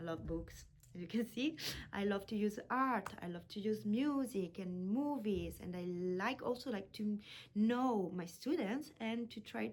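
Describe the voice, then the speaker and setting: A woman's somewhat breathy, medium-pitched voice moves at a fairly slow pace with ordinary pitch variation. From Italy. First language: Italian. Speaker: language teacher. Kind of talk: self-introduction video. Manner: halting.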